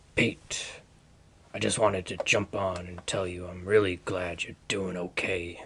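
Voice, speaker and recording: A man does a put-on character voice, raspy and very deep. His loudness swings widely. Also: moderate pace, fairly even intonation. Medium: audio drama. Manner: blunt, coarse, hearty.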